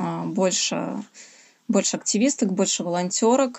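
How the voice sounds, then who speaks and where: This is a woman's voice. Her pitch is medium. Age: 30s. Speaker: feminist activist. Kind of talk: interview.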